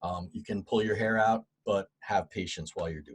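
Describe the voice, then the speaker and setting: Somewhat breathy male voice, dry and close, with no echo. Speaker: guest speaker on HR and unemployment. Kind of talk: webinar presentation. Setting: online webinar.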